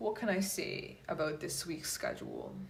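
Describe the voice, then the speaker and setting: A woman speaks with lively intonation, and audible room echo fills the recording. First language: Polish. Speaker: tarot reader and yoga instructor. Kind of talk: casual talk to viewers. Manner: hesitant with many fillers.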